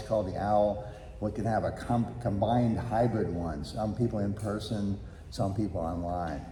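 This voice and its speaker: A man talks at a moderate pace with audible room echo. Noticeable background noise runs underneath. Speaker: congregation member giving announcements. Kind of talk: church announcement and testimonial.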